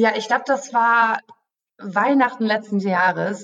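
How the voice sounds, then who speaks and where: This is a plain, everyday voice. The intonation stays fairly even. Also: woman. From Germany, Münster area. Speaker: travel YouTuber on a sponsored trip. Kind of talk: podcast interview. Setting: office.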